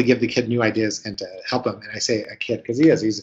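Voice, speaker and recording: A man talks at a fairly quick pace. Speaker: marketing consultant presenter. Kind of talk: webinar presentation. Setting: online webinar. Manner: fast.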